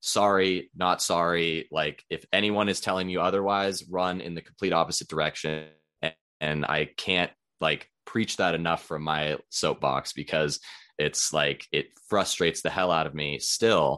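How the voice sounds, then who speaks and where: A man with a very deep, low pitch and a bright, sharp tone speaks fairly slowly with fairly even intonation over a quiet background. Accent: Western US. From Idaho, US. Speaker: nutrition consultant and endurance sports coach. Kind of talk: casual interview chat.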